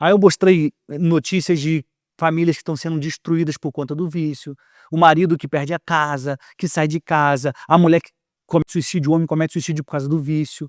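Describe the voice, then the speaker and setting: Fairly high-pitched and monotone, a man with a Rio de Janeiro accent speaks at a fairly quick pace on a very clean, dry, close recording with a silent background and no echo. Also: big swings in loudness. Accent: carioca. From Rio de Janeiro, Brazil. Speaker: communicator and author. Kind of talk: podcast interview. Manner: calm, measured pace; projected, placed voice.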